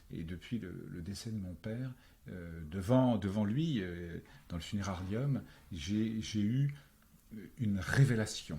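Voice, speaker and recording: A man's somewhat breathy, fairly low voice with a dark, mellow tone, lively intonation, big swings in loudness, long, frequent pauses and a very slow pace. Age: 60s. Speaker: actor, screenwriter and novelist. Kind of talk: interview conversation. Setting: face-to-face on Paris boulevards. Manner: hesitant, many fillers.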